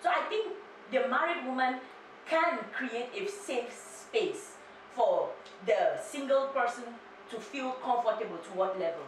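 Against light background noise and audible room echo, a woman speaks fairly slowly at a high pitch with very wide pitch swings and long, frequent pauses. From Cameroon. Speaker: YouTuber and PhD student; YouTuber. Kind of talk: casual chat. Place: home room.

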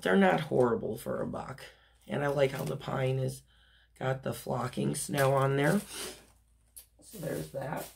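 A raspy woman with vocal fry, an extremely low pitch and a slightly mellow tone speaks at a fairly slow pace with lively intonation and long, frequent pauses.

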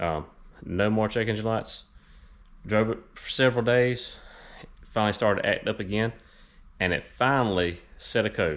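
A man talks in a normal speaking voice at a fairly low pitch. His pace is fairly quick, with ordinary pitch variation. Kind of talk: casual tutorial. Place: garage. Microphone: phone near.

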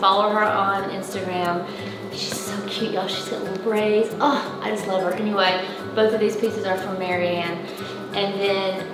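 Woman speaking with music in the background and audible room echo. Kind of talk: casual house tour chat. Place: home room. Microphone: camera far.

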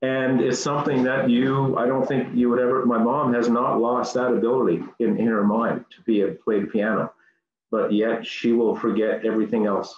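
Speech comes at a fairly quick pace with fairly even intonation. There is audible room echo and light background noise. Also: man, medium pitch for a man. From Newfoundland, Canada. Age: 50s. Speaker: piano student; interviewee. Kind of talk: interview. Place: home room. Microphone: video call.

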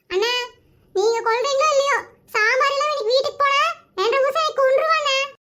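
A woman does a squeaky, cartoonish character voice at an extremely high pitch, with ordinary pitch variation and very even loudness. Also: moderate pace. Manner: whiny, pleading.

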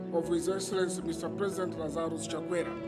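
There is clear music in the background as a man speaks. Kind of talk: formal speech. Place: open country. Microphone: podium.

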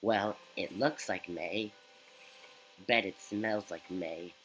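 Putting on a character voice, a man speaks at a fairly low pitch. His pace is very slow.

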